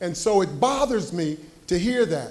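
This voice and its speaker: A man's high voice at a fairly slow pace, with audible room echo. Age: 70s. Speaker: community member asking question. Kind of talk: public comment at town hall. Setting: town hall meeting with audience.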